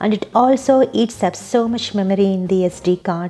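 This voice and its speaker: With ordinary pitch variation, a woman speaks in a dark, mellow tone. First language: not English. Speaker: YouTube creator, software developer. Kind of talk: scripted tutorial.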